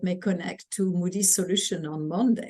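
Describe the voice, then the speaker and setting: The speaker talks at a moderate pace with ordinary pitch variation, a dark, mellow tone and a French accent. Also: woman. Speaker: customer experience executive. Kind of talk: interview.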